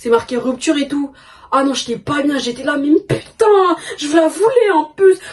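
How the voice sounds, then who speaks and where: With very wide pitch swings, a woman speaks in a high voice. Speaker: sneaker YouTuber. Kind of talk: casual vlog storytelling. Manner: fast; stammering.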